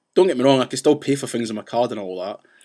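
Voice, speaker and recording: A man's animated, medium-pitched voice with a Scottish accent. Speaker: vlogger ranting about banks. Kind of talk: casual vlog rant. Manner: fast.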